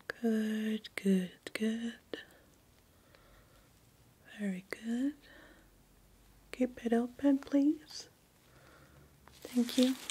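A woman's soft-spoken, gentle voice with a dark, mellow tone, a very slow pace, long, frequent pauses and fairly even intonation, over light background noise. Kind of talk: soft-spoken role-play exam talk to viewer. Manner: soft ASMR doctor voice, close and gentle. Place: home room.

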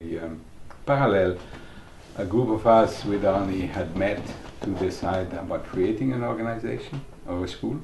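A man's fairly low voice at a moderate pace, with long, frequent pauses, ordinary pitch variation and noticeable background noise. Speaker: early Process Work community member; interviewee. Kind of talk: oral-history interview. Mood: warm, reflective. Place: home room.

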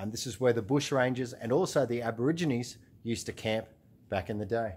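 A man's voice shows ordinary pitch variation. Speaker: travel vlogger. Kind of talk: casual vlog chat. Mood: excited, amazed. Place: tunnel cave. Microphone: phone near.

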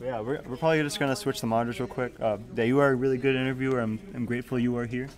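A man speaks at a very fast pace with hardly any pauses. Light background noise can be heard. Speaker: esports tournament commentator. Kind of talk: live commentary. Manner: animated.

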